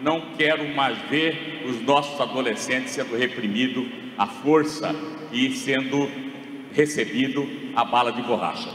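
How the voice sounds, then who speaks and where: A man with a fairly high voice speaks at a fairly slow pace and fairly even intonation, with audible room echo and noticeable background noise. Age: 60s. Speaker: mayoral candidate. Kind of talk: political debate.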